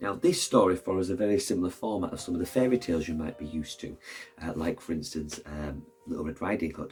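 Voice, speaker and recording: A man speaks at a fairly quick pace with very wide pitch swings, music playing in the background. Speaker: teacher reading a picture book aloud to children. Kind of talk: casual talk to camera introducing a book.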